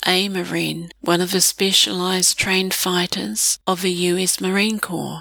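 A woman with a New Zealand accent talks at a fairly slow pace and a medium pitch. The sound is dry and close with no echo, though background noise is noticeable. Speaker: blogger or narrator on New Zealand language. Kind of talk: scripted narration.

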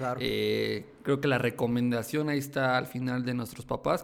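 A man talks at a fairly slow pace in a medium pitch, his intonation flat and monotone. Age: 20s. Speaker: YouTube tech content creator. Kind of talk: casual interview chat. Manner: halting, many fillers and repetitions.

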